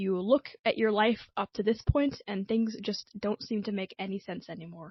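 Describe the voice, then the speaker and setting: Somewhat breathy, the voice holds a moderate pace and ordinary pitch variation. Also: woman. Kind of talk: personal video essay narration.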